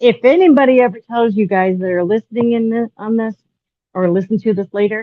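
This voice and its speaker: Speaking at a fairly quick pace, a woman with a plain, everyday voice uses a fairly high pitch with ordinary pitch variation. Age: 60s. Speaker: guest sharing health story. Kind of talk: casual group chat.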